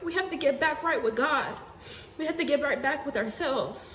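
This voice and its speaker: Audible room echo surrounds a woman with an American accent whose intonation is lively. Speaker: spiritual video blogger. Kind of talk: casual monologue. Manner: animated.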